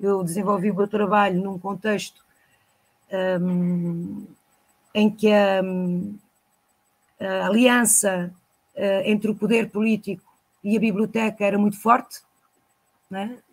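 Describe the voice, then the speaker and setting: A woman's somewhat breathy, medium-pitched voice, monotone and flat, at a very slow pace with long, frequent pauses, on a very clean recording with a silent background. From Lagos, Portugal. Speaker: storyteller and librarian. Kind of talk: interview answer.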